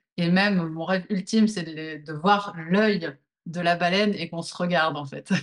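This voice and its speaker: With an ordinary speaking voice, a woman talks at a moderate pace in a fairly low pitch, her intonation fairly even but her loudness swinging widely. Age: 40s. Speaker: movement teacher. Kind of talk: interview.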